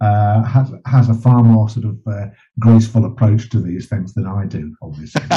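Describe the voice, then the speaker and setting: A man of medium pitch speaks at a moderate pace in a somewhat breathy, dark, mellow tone with ordinary pitch variation. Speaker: journalist and bereaved father, campaigner. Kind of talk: interview conversation.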